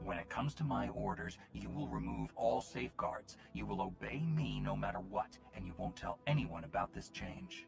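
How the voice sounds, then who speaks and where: Over clear music in the background, a man in a put-on character voice speaks at a moderate pace with hardly any pauses, his pitch very deep and low. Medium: video game. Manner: commanding.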